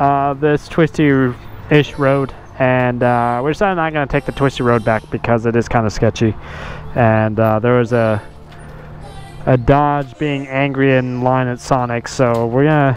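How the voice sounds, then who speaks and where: A man speaks at a fairly slow pace with fairly even intonation. The sound is dry with no echo, and faint music plays in the background. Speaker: motovlogger. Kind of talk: casual vlog chat. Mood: relaxed, amused. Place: street. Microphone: helmet.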